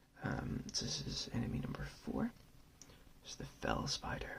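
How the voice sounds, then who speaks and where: At a fairly slow pace, a man speaks in a whisper. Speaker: ASMR channel host and board gamer. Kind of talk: whispered ASMR board game overview and gameplay. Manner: whispered, soft-spoken.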